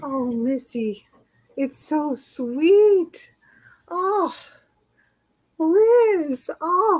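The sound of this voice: Putting on a character voice, a woman speaks at a high pitch with a slightly mellow tone and lively intonation, at a very slow pace with long, frequent pauses.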